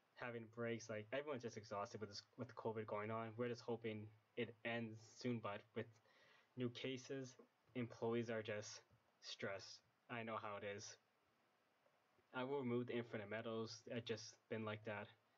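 A man speaks quietly at a medium pitch and a moderate pace. His intonation is monotone and flat. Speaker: game modder. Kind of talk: casual game mod preview narration. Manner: quiet, low volume.

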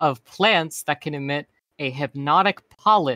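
The voice has a bright, sharp tone and lively intonation at a fairly slow pace. The sound is dry with no echo, over a quiet background. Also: man. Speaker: streamer voicing a cartoon persona. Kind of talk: casual chat. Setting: online voice chat. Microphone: studio mic.

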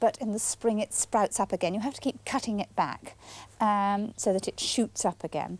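At a moderate pace, a woman speaks in a dry recording with no echo. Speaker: TV presenter. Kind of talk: tutorial. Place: garden.

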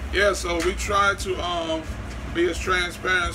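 A man talks while noticeable background noise can be heard. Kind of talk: casual vlog chat. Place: kitchen. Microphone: phone near.

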